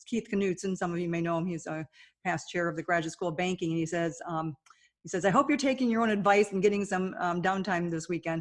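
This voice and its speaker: A woman talks at a fairly low pitch with fairly even intonation. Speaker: bank consultant. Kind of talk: webinar presentation. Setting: webinar. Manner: fast.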